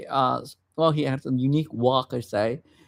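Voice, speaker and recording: A man with a Vietnamese accent speaks at a moderate pace with fairly even intonation. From Vietnam, raised from age 7 in Madison, Wisconsin. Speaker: vlogger. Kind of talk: personal storytelling livestream. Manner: halting, many fillers and restarts.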